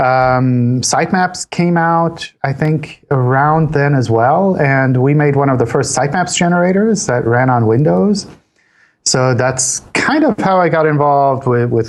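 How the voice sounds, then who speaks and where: A fairly high-pitched man with an American accent, fairly slow pace and very even loudness. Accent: American-style. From Switzerland, partly US South as a child. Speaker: search engine company analyst. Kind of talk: interview. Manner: repeats words, casual.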